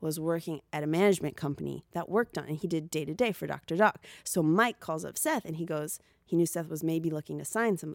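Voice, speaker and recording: A woman with a very deep, low voice speaks at a fairly quick pace and with ordinary pitch variation, recorded very cleanly against silence with a dry, close sound and no echo. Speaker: musician rapper singer. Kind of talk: casual interview chat. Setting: studio interview after sound check.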